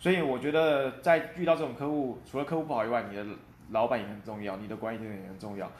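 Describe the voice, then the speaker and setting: Very fast and lively in intonation, a man of medium pitch speaks with big swings in loudness amid audible room echo. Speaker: quality assurance engineer. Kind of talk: interview. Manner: hesitant with fillers.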